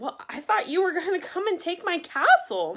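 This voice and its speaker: A woman puts on a character voice with an extremely high pitch and ordinary pitch variation. She uses a raised, projected voice at a moderate pace. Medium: read story.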